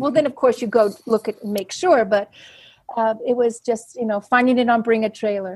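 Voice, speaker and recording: A woman with an ordinary speaking voice talks at a fairly high pitch and a moderate pace, with fairly even intonation. The recording is very clean, with a silent background. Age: 60s. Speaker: classic car rally driver. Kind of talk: podcast interview answer.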